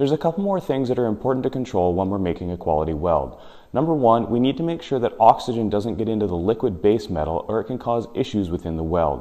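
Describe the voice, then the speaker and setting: A man's fairly low voice, very fast with hardly any pauses and very wide pitch swings, against a quiet background. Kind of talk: tutorial. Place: garage.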